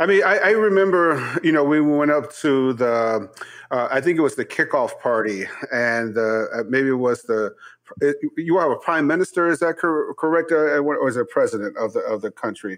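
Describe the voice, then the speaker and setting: With an American accent and a normal speaking voice, a man talks at a moderate pace in a fairly high pitch with lively intonation. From Chicago. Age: 50s. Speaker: chef and podcast host. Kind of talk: interview.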